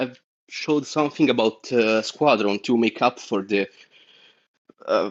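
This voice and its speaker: Against a quiet background, a man with a non-native accent speaks fairly slowly with ordinary pitch variation. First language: not English. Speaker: caller. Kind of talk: call-in discussion. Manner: halting, many fillers.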